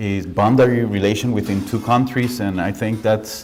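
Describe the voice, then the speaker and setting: A man speaks at a moderate pace with a fairly low pitch. There is audible echo in the room. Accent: Costa Rican. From Costa Rica. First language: Spanish. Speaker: architect and professor. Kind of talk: lecture. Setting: lecture hall with audience. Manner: halting.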